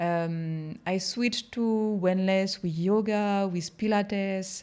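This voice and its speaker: A woman with a French accent speaks at medium pitch with ordinary pitch variation, recorded very cleanly against a silent background. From France. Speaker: hypnotherapist. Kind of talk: interview.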